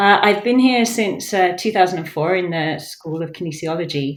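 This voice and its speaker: Audible room echo hangs around the voice. It keeps a moderate pace and ordinary pitch variation. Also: woman. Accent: English. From England. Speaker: professor. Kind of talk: podcast interview.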